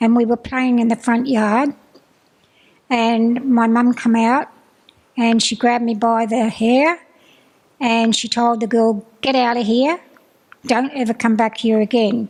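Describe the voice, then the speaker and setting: Speech in an Australian accent comes at a fairly slow pace, flat and monotone, with very even loudness. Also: woman. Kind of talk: personal testimony. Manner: halting.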